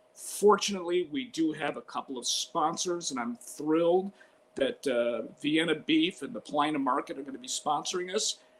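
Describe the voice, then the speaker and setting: A man with an American accent speaks at a moderate pace and a fairly high pitch, in an ordinary speaking voice. His intonation is lively, and his loudness swings widely. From Chicago (Albany Park). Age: 60s. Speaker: sportscaster. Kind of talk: interview.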